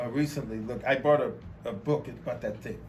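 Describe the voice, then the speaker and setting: Room echo is audible around the speaker. He is a man with an American accent. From Texas, Beaumont. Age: 50s. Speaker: artist. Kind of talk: interview. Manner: halting, with many repetitions.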